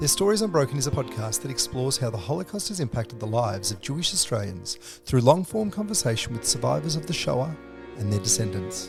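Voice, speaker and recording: Over music in the background, a man at medium pitch speaks at a very fast pace with very wide pitch swings. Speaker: podcast host. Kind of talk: podcast introduction.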